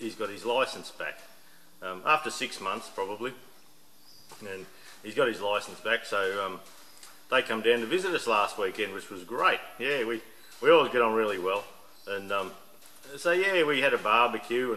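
Lively in intonation, a man speaks with big swings in loudness and long, frequent pauses. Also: moderate pace. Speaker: hobby mechanic vlogger. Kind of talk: casual vlog chat. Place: workshop. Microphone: camera far.

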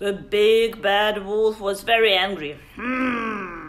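The voice is reading aloud in a natural voice with fairly even intonation.

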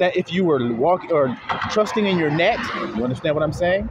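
A man's voice, dry and echo-free, with noticeable background noise. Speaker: religious teacher. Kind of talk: sermon. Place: street. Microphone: phone near.

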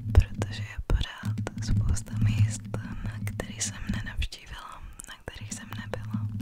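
A woman is whispering, soft-spoken. Her pace is fairly slow. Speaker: ASMR creator. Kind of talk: soft-spoken ASMR chat. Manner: soft close-mic whisper. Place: home room. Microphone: studio mic.

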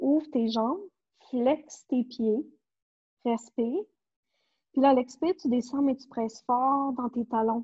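Speaking in a Quebec accent with a dark, mellow tone, this voice moves at a very slow pace, with long, frequent pauses and big swings in loudness. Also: woman, high pitch for a woman, ordinary pitch variation, quiet background. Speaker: pilates instructor. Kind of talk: online fitness class instruction. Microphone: earbuds.

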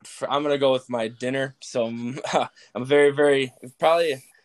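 The dry, close sound with no echo carries a man's medium-pitched voice with fairly even intonation. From US Midwest, suburban Chicago. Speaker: college football player. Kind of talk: casual interview.

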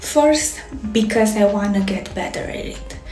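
A woman speaks at a fairly slow pace, with faint music in the background and audible room echo. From Romania. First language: Romanian. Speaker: fashion designer. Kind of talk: casual talk to camera. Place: home room. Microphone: phone near.

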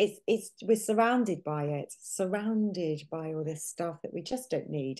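A woman with a British accent, fairly slow and with hardly any pauses, dark and mellow in tone, with lively intonation against a quiet background. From UK. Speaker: nutritional therapist; guest. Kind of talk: interview. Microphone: video call.

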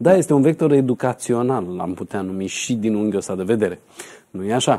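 A man talks with a dark, mellow tone and ordinary pitch variation over a quiet background. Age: 40s. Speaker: numerologist; numerologist show host. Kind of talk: TV talk show interview. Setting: TV studio. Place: studio. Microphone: lapel.

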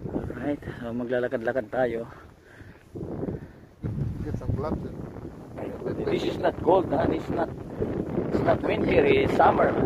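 Loud background noise surrounds a man talking at a fairly slow pace with long, frequent pauses. His pitch variation is ordinary. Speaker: seafarer vlogger. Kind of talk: casual vlog chat. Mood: relaxed, amused. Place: street. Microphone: phone near.

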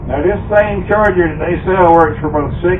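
A man speaks over noticeable background noise. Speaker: presenter. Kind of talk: lecture. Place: open country.

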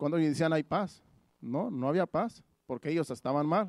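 A man talks with ordinary pitch variation. The sound is dry and close, with no echo. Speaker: pastor. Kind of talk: sermon. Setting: church.

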